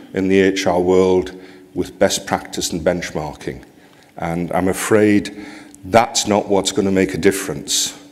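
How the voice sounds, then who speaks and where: A man with a Geordie accent and a fairly low pitch talks at a fairly slow pace. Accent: Geordie, northeast English. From northeast England, near Newcastle. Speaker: HR association president, conference speaker. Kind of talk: conference keynote. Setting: stage with audience. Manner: speeds up when excited.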